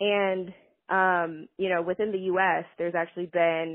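With a normal speaking voice, a woman talks at a moderate pace. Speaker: recycling engineer. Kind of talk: voicemail message. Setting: phone call.

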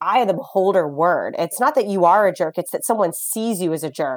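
An ordinary speaking voice with lively intonation, in a very clean recording with a silent background and a dry, close sound with no echo. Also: woman. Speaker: psychology professor. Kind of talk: interview conversation.

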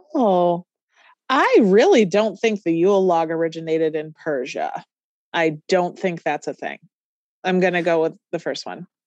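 An unremarkable speaking voice at a moderate pace, ordinary pitch variation, dry and close with no echo. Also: woman, fairly low pitch for a woman. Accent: American. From New York. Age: 30s. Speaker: trivia game contestant. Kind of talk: casual chat.

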